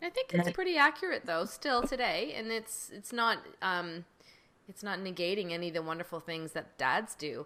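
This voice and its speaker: The woman's tone is bright and sharp, with lively intonation. Her loudness swings in a big way. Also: medium pitch for a woman, moderate pace. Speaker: podcast host and doctor. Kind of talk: podcast interview.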